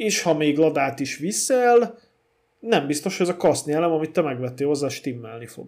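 Here is a man with a plain, everyday voice, pitched fairly high. He moves at a moderate pace with lively intonation. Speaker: podcast co-host about old cars. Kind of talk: casual chat.

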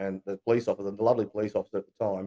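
Very fast and monotone, a man with a fairly low pitch and a dark, mellow tone talks in an Australian accent, the sound dry and close with no echo. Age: 40s. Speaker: real estate agency owner. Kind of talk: interview testimony. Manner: halting.

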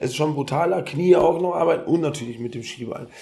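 Over noticeable background noise, a man with a fairly high pitch speaks at a fairly quick pace with ordinary pitch variation. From Ghana. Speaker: event organizer and triathlete. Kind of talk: casual interview. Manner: fast.

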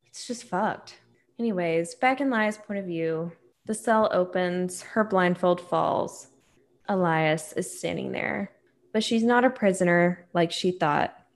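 Over a quiet background, a woman of medium pitch speaks at a fairly slow pace with ordinary pitch variation, in a plain, everyday voice. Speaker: podcast host. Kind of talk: casual boozy chat with book reading.

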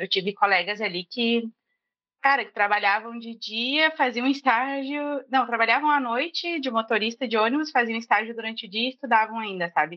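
Her unremarkable speaking voice has a fairly high pitch for a woman, ordinary pitch variation, a moderate pace and big swings in loudness. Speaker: junior front-end developer, career changer. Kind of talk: casual chat.

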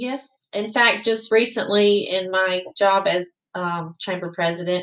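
This woman has a medium pitch and a Southern US accent. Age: 50s. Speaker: chamber of commerce president. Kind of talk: interview.

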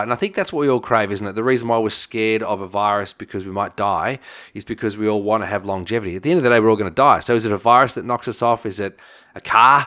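Very fast and bright, with a sharp tone, a man with an Australian accent speaks at a fairly low pitch with fairly even intonation on a very clean recording with a silent background. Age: 40s. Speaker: chiropractor and nutritionist. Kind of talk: interview.

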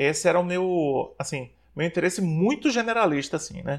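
A man talks at a moderate pace in a high-pitched voice. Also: very clean recording, silent background. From Brazil, Maceió (Alagoas, Northeast). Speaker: psychologist. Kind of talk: interview.

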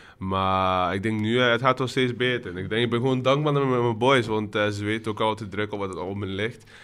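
In an ordinary speaking voice, a man talks at a fairly low pitch and a fairly quick pace, with hardly any pauses and fairly even intonation. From Brazil. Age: 20s. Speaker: student project leader. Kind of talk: casual chat.

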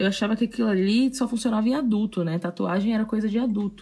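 Dark and mellow in tone and somewhat breathy, the voice races at a very fast pace with lively intonation on a very clean recording with a silent background. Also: woman. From Salvador, Bahia, Brazil. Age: 20s. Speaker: tattoo artist and podcast host. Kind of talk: casual solo storytelling.

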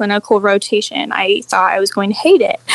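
A woman's intonation is lively, with noticeable background noise around her. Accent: American. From Arizona. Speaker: registered dietitian. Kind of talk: interview.

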